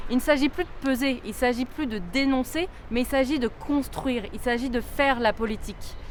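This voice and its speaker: Moderate pace and ordinary pitch variation. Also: woman. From France, Lyon. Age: 20s. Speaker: political candidate. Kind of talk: campaign statement.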